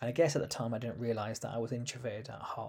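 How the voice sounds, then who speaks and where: A man with a London accent speaks in a somewhat breathy voice at medium pitch. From London, UK. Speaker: empowerment coach and podcast host. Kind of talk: personal storytelling monologue.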